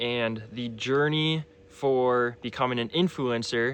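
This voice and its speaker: A man speaks at a medium pitch in a normal speaking voice. His intonation is fairly even. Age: 20s. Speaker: fitness influencer and cancer survivor. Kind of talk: personal vlog testimony. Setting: in front of a camera. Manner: casual, with frequent fillers.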